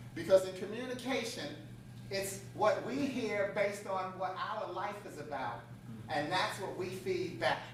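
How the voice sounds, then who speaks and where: Over noticeable background noise, the speech is animated in tone and fairly slow in pace. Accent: American. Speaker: motivational speaker. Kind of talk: conference talk with audience participation. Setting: stage with audience.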